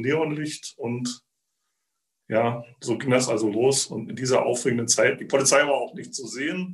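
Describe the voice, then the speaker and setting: A man speaks at a fairly slow pace in a fairly high, somewhat breathy voice. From Zittau, eastern Saxony. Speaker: museum guide and former teacher. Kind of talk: personal storytelling.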